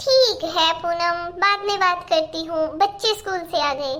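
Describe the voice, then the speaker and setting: A woman uses a put-on character voice, squeaky and extremely high in pitch. Her pitch variation is ordinary and her pace moderate. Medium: cartoon. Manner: boastful, evasive.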